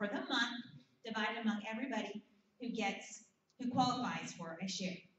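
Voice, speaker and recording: A loud woman's voice with audible room echo. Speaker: essential oil business trainer. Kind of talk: training seminar presentation. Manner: animated.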